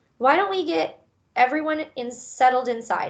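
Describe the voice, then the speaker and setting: A woman puts on a character voice pitched high. She keeps to a moderate pace. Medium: read story.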